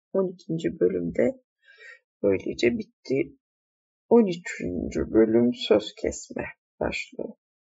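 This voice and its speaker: Long pauses break up the talking often. Overall, the pace is very slow. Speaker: audiobook reader. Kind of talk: reading aloud.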